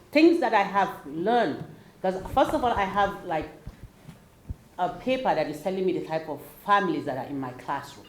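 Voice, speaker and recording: A woman with an African accent speaks at a moderate pace, her pitch swinging very widely. Noticeable background noise and audible room echo fill the recording. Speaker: teacher. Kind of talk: panel discussion.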